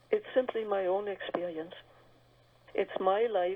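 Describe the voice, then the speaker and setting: In a German accent, a woman of medium pitch speaks at a fairly slow pace with fairly even intonation. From Germany. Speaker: author. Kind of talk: radio interview.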